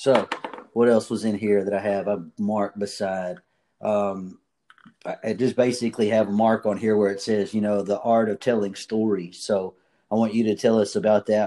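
In a very clean recording with a silent background, a man with a fairly low pitch and a dark, mellow tone talks at a moderate pace. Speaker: podcast host. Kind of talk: interview, upbeat motivational chat.

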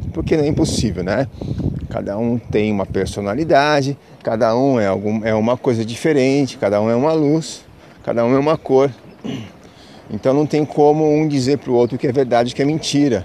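A man talks in a medium pitch. Noticeable background noise is heard. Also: ordinary pitch variation, fairly quick pace. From Brazil, São Paulo city. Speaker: spiritual podcaster. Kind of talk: casual spiritual monologue. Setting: outdoors, walking to the beach. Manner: halting, many fillers.

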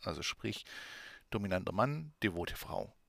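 Here a man is talking. His intonation is lively. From Swabia, southwest Germany. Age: 30s. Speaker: podcast host and adult shop owner. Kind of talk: educational monologue.

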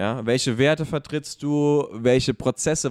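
Recorded dry and close with no echo, a man talks at a fairly slow pace in a medium pitch with ordinary pitch variation. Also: very clean recording, silent background. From abroad, immigrant to Germany. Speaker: podcast co-host. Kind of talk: casual discussion. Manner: hesitant, many fillers.

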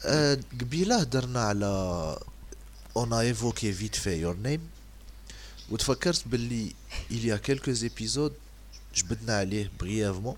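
This man has a fairly low voice and speaks very slowly. His intonation is lively, broken by long, frequent pauses. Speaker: podcast host. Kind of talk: casual chat.

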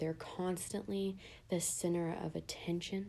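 A woman speaks at a fairly low pitch and a moderate pace. Her tone is dark and mellow, with fairly even intonation. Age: 20s. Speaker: podcast host. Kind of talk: casual solo monologue.

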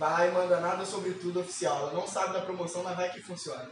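Against noticeable background noise and audible room echo, a man speaks quickly-ish in an animated tone at a high pitch. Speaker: podcast co-host. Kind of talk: casual chat.

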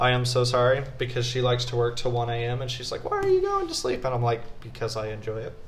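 Over noticeable background noise and audible room echo, a man talks very fast in a monotone, flat way with hardly any pauses. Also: medium pitch for a man. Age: 20s. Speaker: university student, host's husband. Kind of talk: casual chat.

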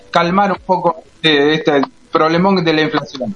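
The speech comes at a fairly slow pace with fairly even intonation. Noticeable background noise is present. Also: man. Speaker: radio co-host. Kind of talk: radio interview.

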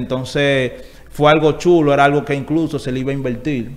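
A man speaks at a fairly quick pace in an ordinary speaking voice. His pitch is fairly high and his intonation fairly even. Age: 20s. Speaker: urban music artist. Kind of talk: interview.

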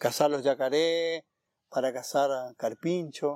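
A man with a fairly high pitch speaks fairly slowly, the sound dry and close with no echo. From Argentina, Corrientes (Iberá wetlands). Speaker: park ranger. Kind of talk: interview. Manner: halting, many fillers.

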